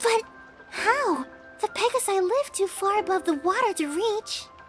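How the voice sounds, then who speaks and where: A female-sounding, put-on character voice at an extremely high pitch and a moderate pace comes with clear music in the background. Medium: audio drama. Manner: timid, hesitant.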